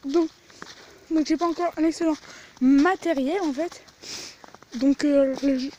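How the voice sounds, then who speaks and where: Speaking very slowly with long, frequent pauses, a woman keeps a high pitch and fairly even intonation over noticeable background noise. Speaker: beginner YouTuber, vlogger. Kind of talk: casual vlog. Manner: halting, repeats words.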